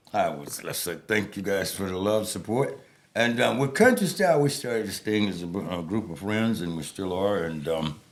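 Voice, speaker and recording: Audible room echo surrounds a man with an American accent who speaks at a fairly low pitch with lively intonation. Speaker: podcast guest, retired service member. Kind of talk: casual chat. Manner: fast; words run together.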